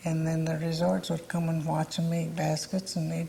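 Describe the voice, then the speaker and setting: A woman with an American accent, fairly low-pitched and somewhat breathy, in a dark, mellow tone and monotone, flat intonation. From southwest Michigan, Cass County. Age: 80s+. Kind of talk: oral history interview.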